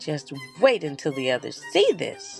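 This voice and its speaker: A man does a squeaky put-on character voice with fairly high pitch for a man at a moderate pace, with clear music in the background. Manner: excited, out of breath.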